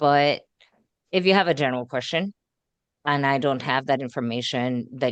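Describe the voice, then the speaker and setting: In a dry, close sound with no echo, a woman with a very deep, low voice speaks at a fairly quick pace with ordinary pitch variation. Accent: Puerto Rican. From Puerto Rico. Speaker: school board candidate. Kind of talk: candidate interview.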